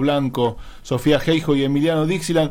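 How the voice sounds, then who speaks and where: An unremarkable speaking voice at a moderate pace. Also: man. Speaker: radio host. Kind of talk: casual chat.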